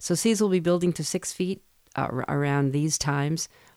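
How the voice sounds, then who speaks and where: A voice with an American accent and a dark, mellow tone comes through on a very clean recording with a silent background. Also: woman. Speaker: radio host. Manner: steady, matter-of-fact, clipped and precise.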